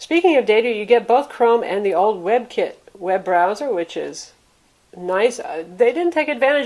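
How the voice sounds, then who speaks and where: A woman with an American accent and an ordinary speaking voice, fairly quick pace, ordinary pitch variation. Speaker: tech reviewer. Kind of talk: product review.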